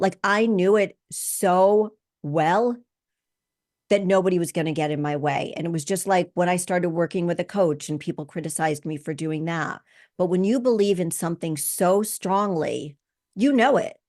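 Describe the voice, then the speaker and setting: Against a quiet background, a woman with an ordinary speaking voice talks at a moderate pace, her fairly low pitch showing ordinary variation. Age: 60s. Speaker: podcast host. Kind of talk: podcast monologue.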